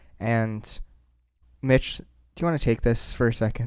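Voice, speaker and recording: On a very clean recording with a silent background, a man speaks at a medium pitch in a playful tone with fairly even intonation. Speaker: podcast host. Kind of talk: casual chat. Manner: joking, playful.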